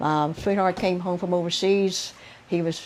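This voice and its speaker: A woman speaks with a Southern US accent. Her fairly low voice has a dark, mellow tone. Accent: Southern American. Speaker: oral history narrator. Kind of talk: interview answer.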